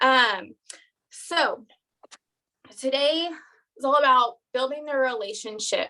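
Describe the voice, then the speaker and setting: A woman's raised, projected voice, high-pitched with a bright, sharp tone, ordinary pitch variation, a very slow pace and long, frequent pauses. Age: 20s. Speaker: network marketing team leader. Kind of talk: live stream training. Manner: animated.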